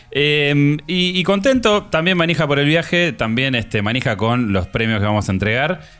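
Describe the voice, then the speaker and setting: Very wide pitch swings from a man at a moderate speed. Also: hardly any pauses. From Argentina. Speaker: podcast co-host. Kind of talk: casual chat.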